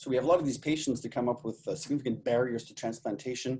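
With a dark, mellow tone, a man speaks at a very fast pace over light background noise. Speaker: presenter. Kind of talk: lecture. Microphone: webcam.

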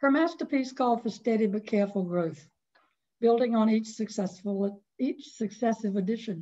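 Moderate pace in a Southern US accent, somewhat breathy with a dark, mellow tone, ordinary pitch variation, quiet background. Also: woman. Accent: Southern American. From North Carolina. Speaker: author; guest. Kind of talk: webinar presentation of memoir. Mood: warm, nostalgic. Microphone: video call.

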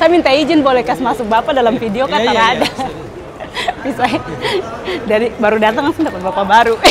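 Against noticeable background noise, a woman with a Papuan accent speaks at a very fast pace and high pitch, her pitch varying in an ordinary way. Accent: Papuan Indonesian. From Papua, Indonesia. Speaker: vlogger. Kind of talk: casual vlog. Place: station.

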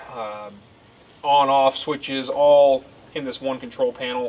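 A man speaking at a fairly slow pace with fairly even intonation. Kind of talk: tutorial. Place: street. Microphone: camera far.

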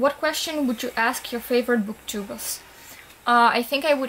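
A woman speaks with a non-native accent, her pitch high and her intonation fairly even. Light background noise is present. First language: not English. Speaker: book vlogger. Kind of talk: casual talk to camera. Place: home room. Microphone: webcam.

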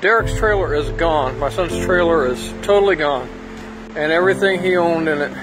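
Over clear music in the background, a man talks at a fairly quick pace with ordinary pitch variation. His loudness stays very even in a dry sound with no echo. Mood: worried, distressed. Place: street. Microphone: phone near.

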